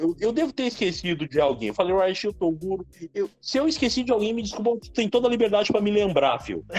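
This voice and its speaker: Music plays in the background. The speaker goes at a very fast pace with lively intonation. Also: man, high pitch for a man. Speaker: pro wrestler. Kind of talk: casual interview.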